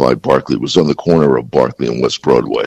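Noticeable background noise accompanies a man recorded in a dry, close sound with no echo. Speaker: former police commissioner. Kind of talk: radio interview.

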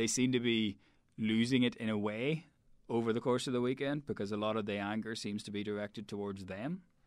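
A man speaks with a Northern Irish accent at a fairly quick pace. His intonation is fairly even and his pitch medium. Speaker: rugby journalist. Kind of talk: casual chat.

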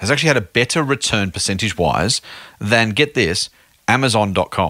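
A man with an Australian accent, medium pitch and a bright, sharp tone. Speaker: podcast host and investment officer. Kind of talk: podcast interview. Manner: casual, chatty with filler words.

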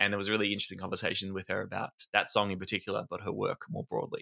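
With an Australian accent, a man talks at a very fast pace, the sound dry and close with no echo. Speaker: podcast co-host. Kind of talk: casual chat.

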